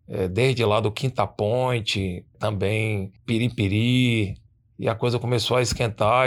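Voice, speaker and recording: A man talks in a normal speaking voice, fairly low-pitched and with fairly even intonation. The recording is very clean, with a silent background. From Itabuna, southern Bahia, Brazil. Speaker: radio presenter. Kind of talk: casual interview.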